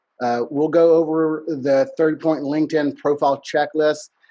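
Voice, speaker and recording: With a Texas accent, a man speaks at a moderate pace in a fairly high pitch. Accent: country Texas. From Texas, Huntsville (rural East Texas). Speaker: business networking consultant. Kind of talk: webinar presentation. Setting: video webinar.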